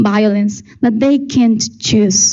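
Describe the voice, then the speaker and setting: Breathy to some degree, a woman speaks with a fairly high pitch. She keeps a fairly slow pace and fairly even intonation. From Ecuador. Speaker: beauty pageant contestant. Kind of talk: prepared presentation speech.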